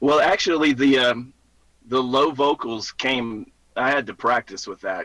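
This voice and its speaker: With a Southern US accent, a man talks at a moderate pace in a bright, sharp tone and ordinary pitch variation. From US South, Mississippi. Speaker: musician. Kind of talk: casual chat.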